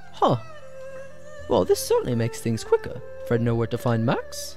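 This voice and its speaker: A man performs a put-on character voice at a moderate pace. Loud background noise runs behind him. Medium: virtual streamer. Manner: broken third-person speech, excitable.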